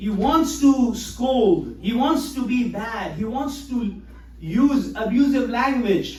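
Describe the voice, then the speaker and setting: A man at an extremely high pitch with ordinary pitch variation and a fairly slow pace, amid noticeable background noise and audible room echo. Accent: Pakistani. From Pakistan, Karachi. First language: Urdu. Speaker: imam. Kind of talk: sermon. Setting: mosque.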